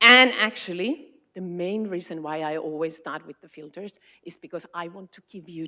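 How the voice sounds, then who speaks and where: Speaking with a Finnish accent, a woman has a bright, sharp tone, a fairly low pitch and lively intonation. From Finland, Arctic Circle area. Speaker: education consultant. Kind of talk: conference talk.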